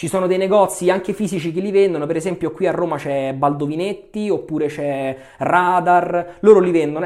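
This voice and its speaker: A man with a high voice talks at a fairly quick pace. His intonation is lively. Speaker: shaving YouTuber. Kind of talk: product review tutorial. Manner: fast; loud.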